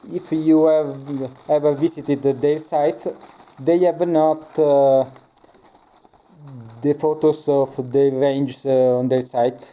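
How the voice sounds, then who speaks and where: A man with a non-native accent speaks at a very slow pace and fairly high pitch, with fairly even intonation, long, frequent pauses and noticeable background noise. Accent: non-native English speaker. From Italy. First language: Italian. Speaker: miniature wargaming hobbyist. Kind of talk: unboxing review. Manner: halting, many filler sounds.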